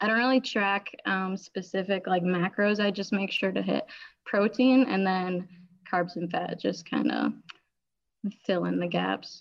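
With an ordinary speaking voice, a woman talks at a fairly slow pace, her pitch medium and its variation ordinary. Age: 20s. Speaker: powerlifter. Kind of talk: interview.

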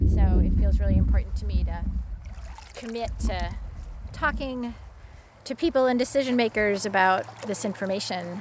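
Amid noticeable background noise, the speech keeps a moderate pace broken by long, frequent pauses. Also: woman. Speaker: stream temperature researcher. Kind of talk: field interview. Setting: outdoors by a river.

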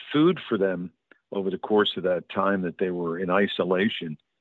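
A man with lively intonation. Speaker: radio host and documentary producer. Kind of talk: interview.

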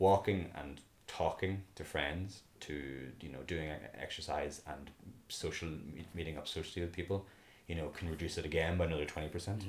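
In a Northern Irish accent with vocal fry, the speaker keeps a moderate pace and fairly even intonation. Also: man, very deep, low pitch for a man. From Belfast, Northern Ireland. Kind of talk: casual interview chat.

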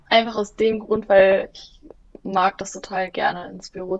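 A woman at a fairly slow pace. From Germany, Bielefeld. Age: 20s. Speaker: office management apprentice. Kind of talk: interview.

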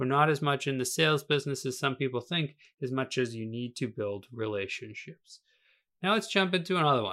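With an American accent, a man speaks at a fairly quick pace in a fairly high pitch with lively intonation and an unremarkable speaking voice. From Massachusetts. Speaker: podcast host, real estate coach. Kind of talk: solo educational podcast monologue.

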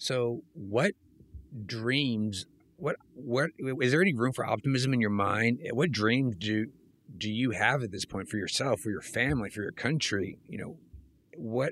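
A plain, everyday voice: a man at medium pitch, with ordinary pitch variation and a fairly slow pace. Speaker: podcast host. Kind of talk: casual interview.

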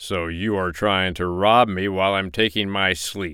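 A put-on character voice, growling in an angry tone, at a moderate pace. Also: man. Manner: growling, angry.

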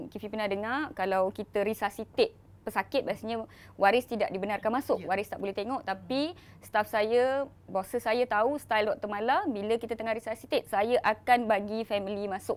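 An unremarkable speaking voice from a woman, fairly high in pitch with ordinary pitch variation, at a moderate pace on a very clean recording with a silent background. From Malaysia, Malaysian Indian. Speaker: emergency doctor and social media influencer. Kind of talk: interview.

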